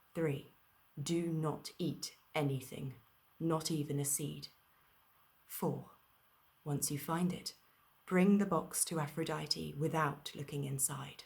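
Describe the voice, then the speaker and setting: A soft-spoken woman talks very slowly in a very deep, low, somewhat breathy voice. Her intonation stays flat and monotone, broken by long, frequent pauses. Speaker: actor and storyteller. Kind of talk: bedtime story reading. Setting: video call party.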